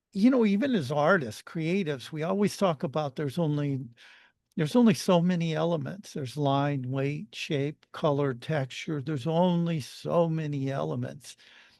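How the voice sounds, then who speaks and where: A man keeps a moderate pace and ordinary pitch variation, with a quiet background behind him. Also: fairly high pitch for a man. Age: 60s. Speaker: author and artist. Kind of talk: casual interview chat. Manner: halting, many false starts.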